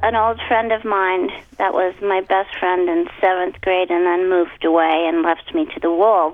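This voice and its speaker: A woman with a normal speaking voice at medium pitch talks at a moderate pace with hardly any pauses and ordinary pitch variation. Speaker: voice actor. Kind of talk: casual interview chat.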